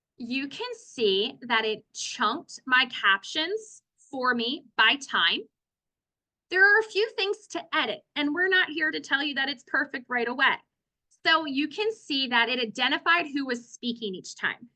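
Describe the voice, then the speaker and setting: A woman's high, raised, projected voice, bright and sharp in tone, fairly slow, with very wide pitch swings. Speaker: instructional designer. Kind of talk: tutorial.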